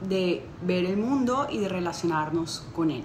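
A woman talks very slowly, with light noise in the background. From Colombia. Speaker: interdisciplinary artist and conceptual photographer. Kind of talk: juror's statement to camera. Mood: warm, earnest. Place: home room. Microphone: phone near.

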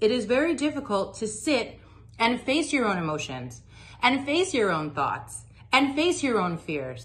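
Showing vocal fry and very wide pitch swings, a woman talks at a moderate pace. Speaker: meditation teacher. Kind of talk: tutorial. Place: home room. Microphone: phone near.

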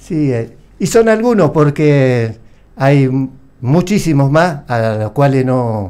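At a very slow pace, a man with a Rioplatense accent speaks in a fairly high voice of dark, mellow tone with lively intonation. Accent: Argentine Spanish (rioplatense). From Argentina, Santa Fe. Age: 60s. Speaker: war veteran. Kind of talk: interview testimony; interview answer. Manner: halting. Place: studio. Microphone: studio mic.

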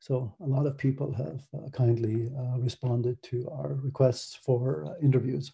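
With an American accent, a man talks at a moderate pace and medium pitch, his somewhat breathy voice dark and mellow in tone, with ordinary pitch variation, hardly any pauses, and a quiet background. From Ireland. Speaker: academic researcher; conference presenter. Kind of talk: conference presentation. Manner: many fillers, hesitant. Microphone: video call.

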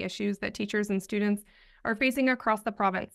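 Her intonation stays fairly even. The woman is heard against a quiet background. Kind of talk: press statement. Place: office. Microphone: earbuds.

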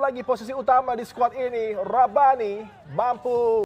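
Over noticeable background noise, a man talks at a fairly slow pace in an animated, excited tone. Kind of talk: football commentary. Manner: animated, excited, rising with each chance.

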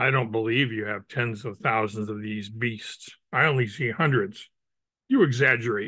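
The recording is dry, with no echo, and the background is quiet. The tone comes across bright and sharp. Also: man, fairly even intonation, moderate pace. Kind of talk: story reading aloud. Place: home room. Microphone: video call.

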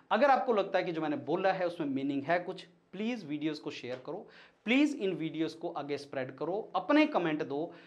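A man talks at a moderate pace with a high pitch and lively intonation. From India. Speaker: education mentor, PhD holder. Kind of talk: educational monologue. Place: studio. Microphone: lapel.

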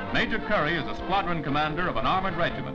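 Clear music plays in the background while the speech moves at a very fast pace. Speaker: newsreel narrator. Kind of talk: wartime newsreel narration. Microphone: old recording.

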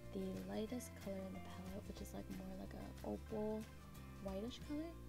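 A woman keeps a moderate pace while clear music sounds in the background. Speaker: beauty vlogger. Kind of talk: makeup tutorial talk to camera. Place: home room. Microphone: camera far.

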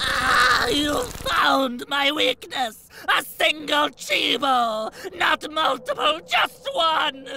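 In a cartoonish character voice, the speaker shouts with a bright, sharp tone and vocal fry, swinging widely in pitch at a very slow pace with few pauses.

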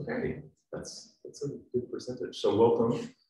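A man is speaking against a quiet background. Audible room echo surrounds his voice. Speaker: event host. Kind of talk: event introduction. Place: hall. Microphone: camera far.

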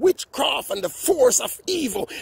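A man speaks with vocal fry and a husky, rough edge. His intonation is lively.

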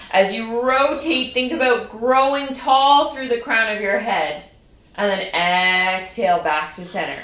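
A woman's voice carries audible room echo. She speaks very slowly. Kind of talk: exercise class instruction. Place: home room. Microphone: camera far.

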